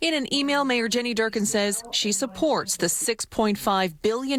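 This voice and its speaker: At a moderate pace, a woman with an unremarkable speaking voice talks in a fairly high pitch that shows ordinary variation. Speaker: TV news reporter. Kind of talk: TV news report voiceover.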